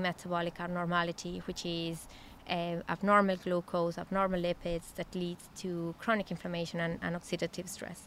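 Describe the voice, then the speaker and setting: A woman speaks at a moderate pace with a fairly low pitch. Her intonation is monotone and flat. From Mexico. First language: Spanish. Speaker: physician and nutrition researcher. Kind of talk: interview. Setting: research facility.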